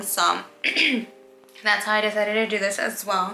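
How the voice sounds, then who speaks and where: A woman speaks at a medium pitch in a monotone, flat way. There is noticeable background noise and audible room echo. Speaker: interior designer vlogger. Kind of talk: tutorial. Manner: fast.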